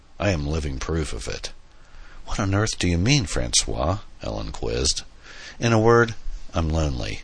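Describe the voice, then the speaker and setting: A man's pitch swings very widely as he talks at a medium tempo. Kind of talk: dramatic audiobook narration, reading fiction aloud with character dialogue. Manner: measured, storytelling pace, expressive in dialogue lines, lightly theatrical.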